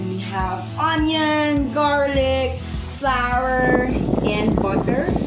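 There is music in the background as a woman speaks. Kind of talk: cooking tutorial. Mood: cheerful, laughing. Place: home room.

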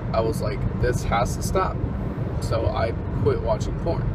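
Over loud background noise, a man speaks at a fairly slow pace in a dry sound with no echo. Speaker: vlogger. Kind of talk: casual vlog chat. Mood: earnest, opinionated. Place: car. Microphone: phone near.

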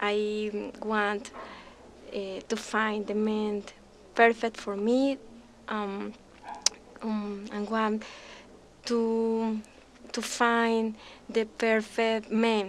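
A woman's monotone, flat delivery at a very slow pace, with long, frequent pauses and light background noise. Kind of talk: self-introduction to camera. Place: studio.

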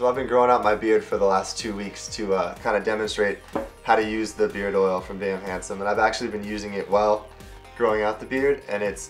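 Very fast speech over faint music in the background. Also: man. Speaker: co-host product reviewer. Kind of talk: casual review and tutorial. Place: home room.

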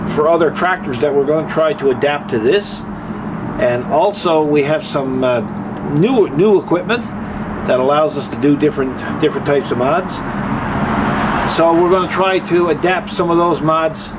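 A man speaks at a moderate pace, leaving long, frequent pauses, over noticeable background noise. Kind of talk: casual vlog chat. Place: street. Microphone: camera far.

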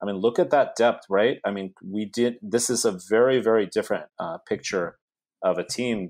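On a very clean recording with a silent background, a man with a Californian accent speaks at a moderate pace. His pitch is fairly low, with ordinary variation. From US, South Bay (California). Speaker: university professor. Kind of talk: casual chat.

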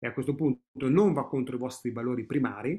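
Moderate pacing from a male speaker, quiet background behind. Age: 50s. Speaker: personal growth coach. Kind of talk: online training webinar. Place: home room. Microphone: webcam.

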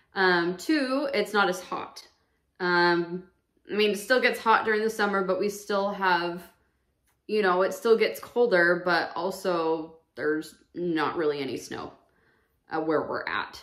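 With long, frequent pauses, a woman talks at a fairly slow pace over a quiet background. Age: 30s. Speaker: vlogger. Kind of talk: personal testimony. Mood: calm, reflective about loss. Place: home room. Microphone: camera far.

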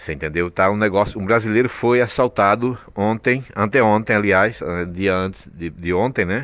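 A man with a Brazilian accent speaks at a fairly low pitch with ordinary pitch variation. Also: moderate pace. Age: 50s. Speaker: vlogger. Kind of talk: casual vlog monologue. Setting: train station. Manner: halting, repetitive.

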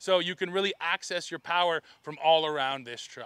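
A man speaks in a raised, projected voice at a fairly quick pace, his tone bright and sharp. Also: dry sound with no echo. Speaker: truck reviewer. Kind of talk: review commentary. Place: open country. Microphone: lapel.

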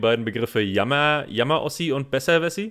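A man's unremarkable speaking voice at medium pitch, with lively intonation and a moderate pace. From northeastern Germany, Rostock. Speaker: podcast co-host, German teacher. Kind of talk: casual conversation for German learners.

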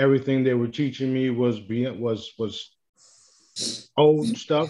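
This man's voice has a dark, mellow tone and a monotone, flat delivery, moving at a very slow pace. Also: quiet background. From Puerto Rico, Ponce; Puerto Rico. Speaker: spiritual healing product seller; guest. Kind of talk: interview. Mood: casual, blunt, confident. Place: home room.

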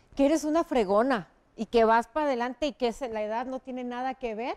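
In a very clean, dry, close recording with a silent background and no echo, a woman speaks high at a moderate pace with ordinary pitch variation. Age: 40s. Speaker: TV news presenter. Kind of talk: interview.

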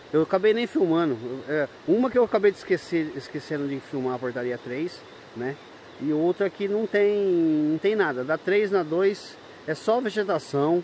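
A man with a high pitch and lively intonation is heard over light background noise, with a dry sound and no echo. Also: moderate pace. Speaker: travel vlogger. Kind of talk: casual vlog chat. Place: open country. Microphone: phone near.

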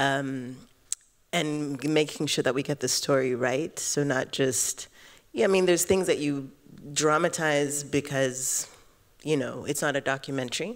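With an American accent, a woman speaks at a very deep, low pitch and a fairly slow pace, showing ordinary pitch variation against a quiet background. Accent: sounds American depending on listener. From Kenya, East Africa, Tanzanian family. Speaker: filmmaker, panelist; panelist. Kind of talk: panel discussion. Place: hall. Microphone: handheld.

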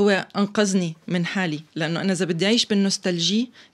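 The intonation stays fairly even at a moderate pace. Behind the voice, the background is quiet. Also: woman. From Syria. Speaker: stage actress and theatre director. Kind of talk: interview. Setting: studio. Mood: emotional, reflective about family. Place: studio. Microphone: studio mic.

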